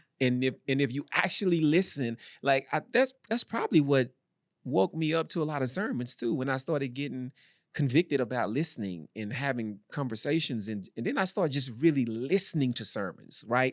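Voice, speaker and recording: A man with a Texan accent, fairly high-pitched, animated and fairly quick, with lively intonation, in a dry, close sound with no echo on a very clean recording with a silent background. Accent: country Texan. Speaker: podcast co-host and Bible study teacher. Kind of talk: casual chat.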